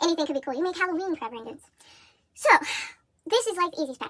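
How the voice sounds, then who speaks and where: The woman's speech carries lively intonation. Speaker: crochet and history video creator. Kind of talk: tutorial. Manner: fast.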